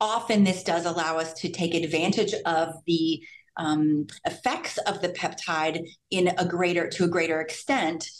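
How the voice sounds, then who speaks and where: A woman talks in a normal speaking voice at a fairly slow pace, her pitch fairly low and her intonation fairly even. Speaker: physician in anti-aging medicine. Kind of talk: interview. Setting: remote call. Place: hall. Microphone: camera far.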